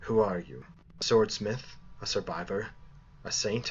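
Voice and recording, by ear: A raspy, put-on character voice comes through. Clear background noise sits behind it. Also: man, fairly low pitch for a man, moderate pace.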